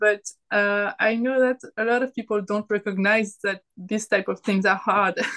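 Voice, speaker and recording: In a French accent, a woman's bright, sharp tone carries ordinary pitch variation with a dry, close sound and no echo. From France. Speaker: artist and self-published author. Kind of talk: casual chat.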